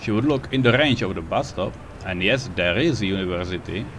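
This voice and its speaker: Over noticeable background noise, a man talks at a fairly quick pace, his fairly low pitch carried by lively intonation. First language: not English. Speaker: video game player. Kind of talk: casual gameplay commentary. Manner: unscripted, hesitant.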